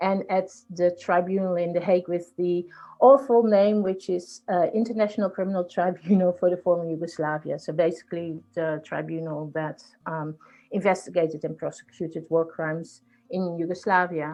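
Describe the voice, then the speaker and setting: At a moderate pace, a woman speaks with a Dutch accent and fairly even intonation. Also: fairly low pitch for a woman. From Netherlands. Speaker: executive coach and mediator. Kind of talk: podcast interview.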